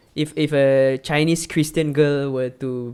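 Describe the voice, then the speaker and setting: A man with a Singaporean accent speaks at a moderate pace in a fairly high pitch, his intonation fairly even, on a very clean recording with a silent background. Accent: Singaporean English (Singlish). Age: 20s. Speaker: content creator and film director. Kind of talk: casual chat. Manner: halting.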